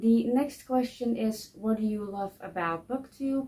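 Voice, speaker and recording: A woman's dark, mellow, somewhat breathy voice at a fairly slow pace, with fairly even intonation. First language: not English. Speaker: book vlogger. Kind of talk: casual vlog monologue. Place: home room.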